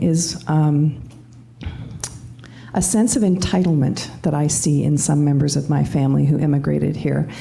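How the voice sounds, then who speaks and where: Amid audible room echo, a woman with a Canadian accent and a very deep, low pitch speaks at a moderate pace. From Canada. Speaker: panelist. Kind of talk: panel discussion.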